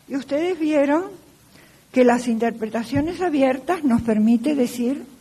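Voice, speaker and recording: Lively intonation over noticeable background noise and audible room echo. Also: woman. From Argentina. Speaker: law professor. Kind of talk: lecture.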